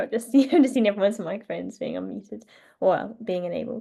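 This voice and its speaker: Against a quiet background, a woman talks at a very fast pace in a medium pitch, her tone dark and mellow with vocal fry. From northern England, North Yorkshire. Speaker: wildlife artist. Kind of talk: online drawing tutorial. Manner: casual, hesitant with many fillers.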